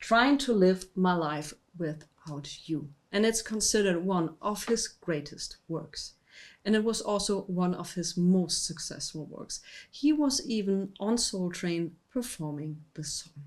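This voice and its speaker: A woman's plain, everyday voice at medium pitch, with lively intonation, big swings in loudness and a fairly slow pace. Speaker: music show host, vinyl record presenter. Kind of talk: casual music history talk to camera. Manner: warm, friendly.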